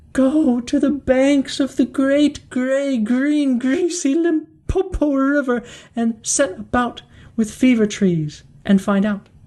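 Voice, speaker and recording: A female-sounding voice puts on a character voice, pitched high. The pace is fairly slow. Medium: read story. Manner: mournful.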